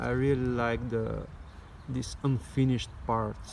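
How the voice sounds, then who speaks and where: Fairly slow speech from a man with a non-native accent. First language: not English. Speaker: knife maker and EDC video creator. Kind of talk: product show-and-tell. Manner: halting, many fillers.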